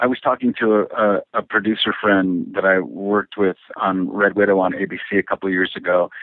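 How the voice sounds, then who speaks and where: A man with a Michigan accent talks at a fairly quick pace and very even loudness, with hardly any pauses. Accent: Midwestern American (Michigan). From Michigan, Detroit area (Woodhaven). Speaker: actor. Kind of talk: interview.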